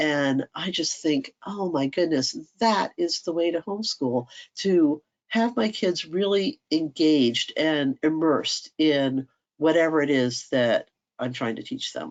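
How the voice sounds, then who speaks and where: A woman in an American accent, very deep and low in pitch, with lively intonation and a fairly slow pace. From US, Washington DC area. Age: 60s. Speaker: homeschool workshop speaker. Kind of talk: online workshop talk. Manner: animated.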